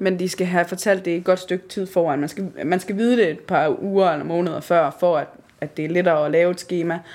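Rushing at a very fast pace, a woman speaks with a fairly low pitch and fairly even intonation. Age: 20s. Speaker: amateur theatre actor. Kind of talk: casual interview.

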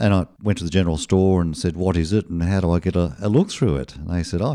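Over a very clean recording with a silent background, a man with an Australian accent talks at a very fast pace, his pitch very deep and low and his tone dark and mellow. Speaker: retired satellite telecommunications engineer. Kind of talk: radio interview. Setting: radio studio.

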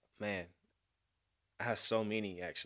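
A very clean recording with a silent background, in an Atlanta accent. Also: man. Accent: Southern US, Atlanta. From Atlanta, Georgia. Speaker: music producer and podcast host. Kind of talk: casual chat.

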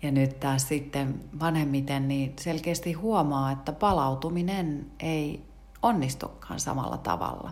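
In a room with audible echo, a woman speaks at a very slow pace in a very deep, low pitch with ordinary pitch variation. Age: old. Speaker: podcast host and yoga teacher. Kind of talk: casual morning talk on mindfulness. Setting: home kitchen.

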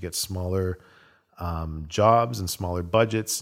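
A man's fairly low voice, a normal speaking voice with ordinary pitch variation, on a very clean recording with a silent background. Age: 40s. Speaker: assistant director and storyboard artist. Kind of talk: casual interview chat.

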